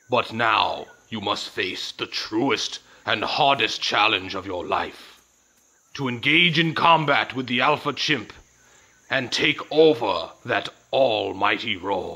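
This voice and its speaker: A cartoonish character voice from a man, medium in pitch and fairly slow in pace. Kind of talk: video game character dialogue.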